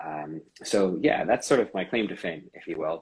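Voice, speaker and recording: This man talks at a moderate pace. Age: 20s. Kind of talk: interview.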